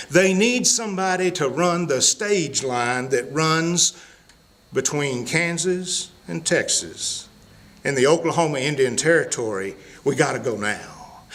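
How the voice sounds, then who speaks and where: A Southern accent with lively intonation at a fairly slow pace, over noticeable background noise. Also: man, fairly high pitch for a man. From US South, Mississippi. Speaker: storyteller. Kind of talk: storytelling.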